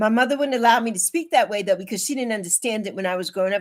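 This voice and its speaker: A woman speaks in a fairly high voice with lively intonation. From US Virgin Islands (St. Croix), also Bronx and Puerto Rican roots. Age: 60s. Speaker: livestreamer. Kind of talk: casual livestream chat. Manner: warm, animated.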